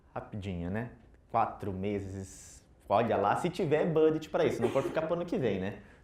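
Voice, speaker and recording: Audible room echo surrounds a man of medium pitch who speaks at a moderate pace with very wide pitch swings. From southern Brazil, Curitiba. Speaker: IT consultant, conference speaker. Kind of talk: tech conference talk. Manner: casual, interactive.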